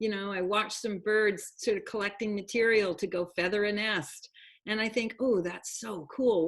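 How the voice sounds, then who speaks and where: In an ordinary speaking voice, a woman speaks at a moderate pace and a medium pitch with fairly even intonation. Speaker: program host. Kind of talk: online talk show hosting.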